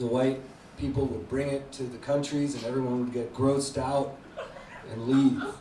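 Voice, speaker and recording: Noticeable background noise and audible room echo surround this recording. A man speaks at a moderate pace and medium pitch in a monotone, flat delivery. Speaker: stand-up comedian. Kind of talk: stand-up. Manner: hesitant, unconfident delivery.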